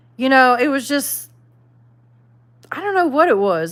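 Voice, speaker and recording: A woman speaks in a high pitch with a Southern US accent. The recording is very clean, with a silent background. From the Carolinas, US South. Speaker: YouTuber, livestream host. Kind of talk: casual livestream chat reading viewer comments. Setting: live stream. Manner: casual, conversational.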